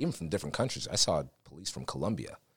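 A man speaks at a very fast pace in a very deep, low voice. Vocal fry runs through it. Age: 20s. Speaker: voiceover talent and law enforcement officer. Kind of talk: casual interview.

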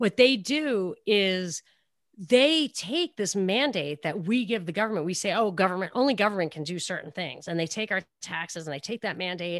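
Speaking at a medium pitch and moderate pace, a woman has a New York accent and lively intonation. The recording is very clean with a silent background, dry and close with no echo. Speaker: radio talk show host. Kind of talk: casual interview chat.

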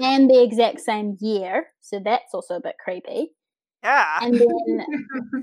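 Very slow pace, ordinary pitch variation, and big swings in loudness. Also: woman, high pitch for a woman. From New Zealand. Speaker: podcast guest, set and projection designer.

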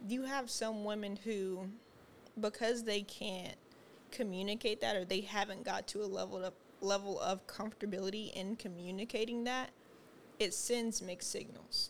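Soft-spoken and at a moderate pace, a woman talks with a medium pitch and fairly even intonation. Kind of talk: casual chat.

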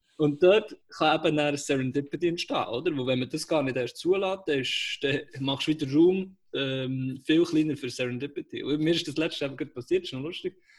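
Somewhat breathy, a man talks at a fairly high pitch. His pace is moderate, with ordinary pitch variation. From Switzerland, Aarberg (Bern). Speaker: podcast co-host, startup worker. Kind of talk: casual chat. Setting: call from home.

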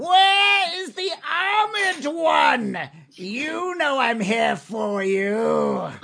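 Shouting in a put-on character voice, fairly high in pitch. The pace is very slow. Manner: yelling, aggressive.

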